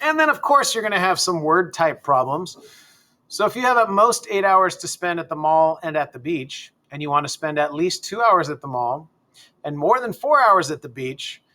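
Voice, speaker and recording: This man has a high pitch and a bright, sharp tone. His pitch swings very widely. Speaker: math teacher. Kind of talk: tutorial. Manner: fast; casual, with fillers.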